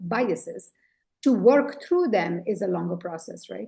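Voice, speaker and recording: A woman with a dark, mellow tone and vocal fry speaks at a moderate pace. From India. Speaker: leadership coach and author. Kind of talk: interview conversation. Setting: podcast interview.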